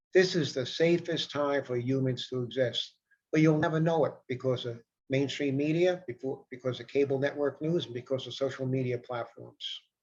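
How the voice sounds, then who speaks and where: Speaking at a moderate pace with an American accent, a man has a fairly high, somewhat breathy voice. His intonation stays fairly even. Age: 60s. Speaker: self-help vlogger. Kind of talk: casual monologue. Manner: repetitive.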